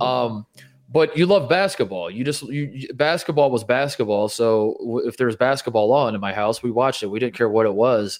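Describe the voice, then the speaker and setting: This is a man with an ordinary speaking voice and an American accent, at medium pitch. He talks at a fairly quick pace with ordinary pitch variation. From Indiana, US. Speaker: college basketball commentator. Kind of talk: casual chat.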